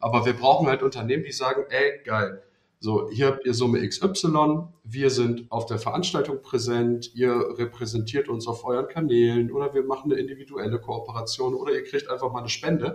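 A man talks at a moderate pace and medium pitch, his voice somewhat breathy and his pitch varying in an ordinary way. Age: 30s. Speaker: student and startup founder. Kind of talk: casual chat. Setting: video call.

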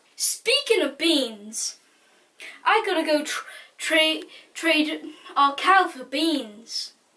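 Putting on a character voice, a man speaks slowly at an extremely high pitch with big pitch swings and a bright, sharp tone.

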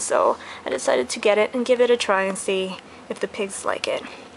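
A woman talks at a moderate pace with ordinary pitch variation. Noticeable background noise runs through the recording. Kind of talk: casual product review. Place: home room. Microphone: phone near.

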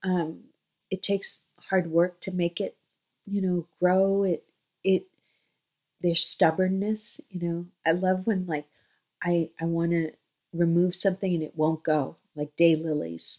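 A fairly low-pitched woman with an American accent, monotone and flat, with long, frequent pauses against a quiet background. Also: fairly slow pace. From US, Flushing, Queens, New York; New York. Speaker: children's book author. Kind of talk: casual talk to camera. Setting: home, in bedroom. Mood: warm, chatty. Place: home room. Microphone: webcam.

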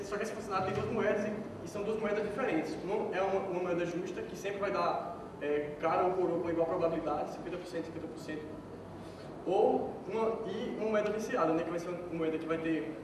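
A high-pitched man talks at a moderate pace with ordinary pitch variation. Noticeable background noise and audible room echo fill the recording. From Brazil, Pernambuco (Petrolina). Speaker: software developer giving a conference talk. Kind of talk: conference talk. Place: hall.

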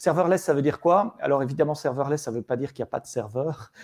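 A man talks at a very fast pace with ordinary pitch variation and a dark, mellow tone. The sound is dry and close, with no echo. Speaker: tech evangelist presenting a framework. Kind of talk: online meetup presentation. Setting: live stream. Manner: hesitant, many fillers.

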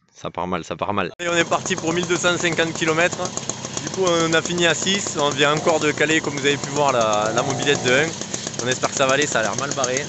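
A man talks at a very fast pace. The sound is dry with no echo, though background noise is noticeable. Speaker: vlogger. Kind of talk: casual vlog chat. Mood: wry, worried but cheerful. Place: open country. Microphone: phone near.

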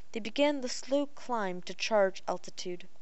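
A woman talks in an unremarkable speaking voice at a moderate pace. Her pitch varies in an ordinary way. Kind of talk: audiobook narration, reading a science fiction novel aloud. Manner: measured, steady storyteller's pace with slight stumbles; casual, friendly when speaking off-book at the end.

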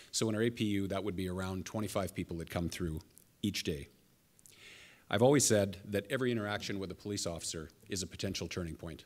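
In a Canadian accent, a man speaks at a very fast pace with a fairly low pitch and ordinary pitch variation. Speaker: police chief. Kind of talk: press conference statement. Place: hall. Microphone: podium.

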